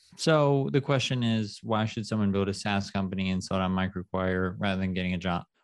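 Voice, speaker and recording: A man with an unremarkable speaking voice and a fairly low pitch talks at a fairly quick pace with hardly any pauses and ordinary pitch variation against a quiet background. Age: 30s. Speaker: startup founder and CEO. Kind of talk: casual interview.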